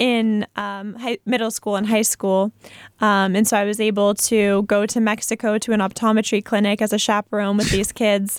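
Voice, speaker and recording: A woman talks in a plain, everyday voice at a fairly high pitch. Her recording sounds dry and close, with no echo. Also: very clean recording, silent background. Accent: American. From Massachusetts, Foxborough. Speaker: peace researcher and university student. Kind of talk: radio interview. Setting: studio.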